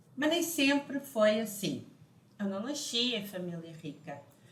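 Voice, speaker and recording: A European Portuguese accent at a fairly slow pace, lively intonation and audible room echo. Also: woman. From Portugal. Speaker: financial educator. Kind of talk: online lesson.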